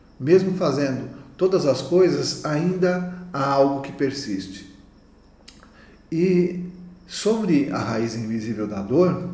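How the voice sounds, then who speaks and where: With audible room echo, a man speaks very slowly at a fairly high pitch, his voice making very wide pitch swings and big swings in loudness, broken by long, frequent pauses. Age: 60s. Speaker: naturopath. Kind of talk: conference talk.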